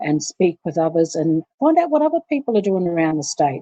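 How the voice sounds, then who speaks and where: The sound is dry and close with no echo, and the voice has a dark, mellow tone. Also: woman. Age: 60s. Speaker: community advocate, elder. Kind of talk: interview. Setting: recorded workshop session. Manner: halting, with frequent fillers.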